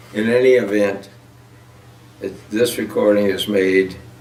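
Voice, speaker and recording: With an American accent, a man speaks fairly slowly at a fairly low pitch in a monotone, flat intonation. Noticeable background noise and audible room echo sit behind him. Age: 90s. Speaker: war veteran. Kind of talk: testimony. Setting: at home, on camera. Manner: halting. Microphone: poor audio quality.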